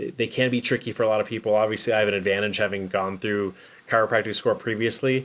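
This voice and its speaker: A normal speaking voice at a fairly quick pace. The intonation stays fairly even. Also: man. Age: 40s. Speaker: chiropractor and medical student vlogger. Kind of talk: livestream casual talk. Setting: live stream.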